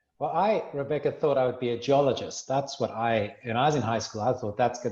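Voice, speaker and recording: With a South African accent, a man speaks at a medium pitch and a fairly quick pace, hardly pausing at all. His voice is somewhat breathy, with ordinary pitch variation. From South Africa, Cape Town. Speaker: minerals industry representative, former mining lecturer. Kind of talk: interview.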